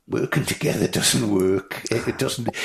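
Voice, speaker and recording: Somewhat breathy, a man with a Manx accent speaks at a moderate pace with a very deep, low pitch. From Isle of Man. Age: 70s. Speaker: motorcycle display commentator. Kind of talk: podcast interview answer.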